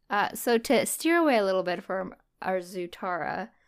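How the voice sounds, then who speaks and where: On a very clean recording with a silent background, a woman speaks at a medium pitch and a fairly slow pace. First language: not English. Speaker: fan artist and podcast co-host. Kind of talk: casual chat.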